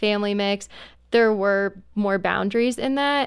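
A normal speaking voice moves at a moderate pace. The recording is very clean with a silent background. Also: woman. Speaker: roundtable panelist. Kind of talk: casual roundtable chat.

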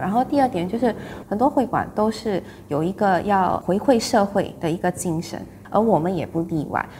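A woman at a medium pitch, with noticeable background noise behind her. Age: 30s. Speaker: clan association committee member. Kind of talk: interview.

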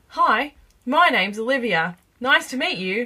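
A woman's put-on character voice, high-pitched, with very wide pitch swings and a moderate pace. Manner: overly polite, artificial.

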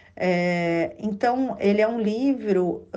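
A woman's voice at a medium pitch. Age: 40s. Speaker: author and speech therapist. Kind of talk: interview. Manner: hesitant, many fillers.

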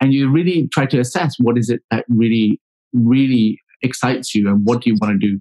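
A man's medium-pitched voice with a dark, mellow tone, ordinary pitch variation and very even loudness, at a fairly quick pace, in a dry, close sound with no echo. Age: 40s. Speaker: public relations consultant. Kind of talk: casual chat.

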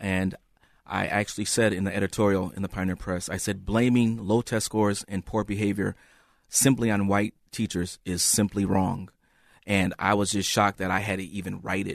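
Here a man speaks in a monotone, flat delivery with an American accent. His pitch is fairly low, and the sound is dry and close with no echo. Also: moderate pace, quiet background. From US Midwest, Saint Paul, Minnesota. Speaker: former schoolteacher. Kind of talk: radio interview.

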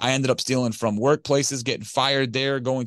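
With an American accent and a plain, everyday voice, a man of medium pitch talks at a fairly quick pace in a dry, close sound with no echo over a quiet background. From Detroit, Michigan. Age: 30s. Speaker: recovering addict and business owner. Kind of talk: podcast interview testimony.

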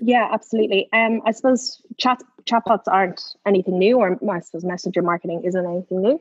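In an Irish accent, a woman talks at a very fast pace. Her pitch varies in an ordinary way. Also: medium pitch for a woman. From Ireland. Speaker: social media marketing expert. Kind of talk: casual interview chat. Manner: hesitant with frequent fillers.

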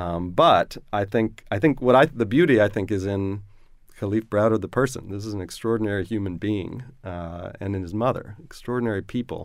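A man with an American accent and a plain, everyday voice, fairly low pitch, ordinary pitch variation, fairly quick pace and big swings in loudness, on a very clean recording with a silent background. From Baltimore, Maryland. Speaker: composer and music professor. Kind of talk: radio interview.

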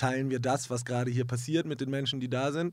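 A man is speaking. His pace is fairly quick. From Hamburg, northern Germany. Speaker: musician. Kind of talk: interview. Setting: studio.

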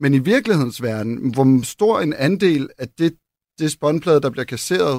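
A man's ordinary speaking voice, fairly high in pitch, at a moderate pace with lively intonation, in a dry, close sound with no echo and a very clean recording with a silent background. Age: 40s. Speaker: furniture designer. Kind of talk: interview conversation. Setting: radio studio.

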